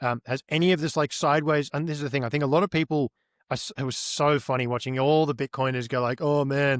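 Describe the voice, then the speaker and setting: A man with an Australian accent, fairly high in pitch and very fast, with ordinary pitch variation, in a dry, close sound with no echo on a very clean recording with a silent background. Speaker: on-chain market analyst. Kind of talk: interview.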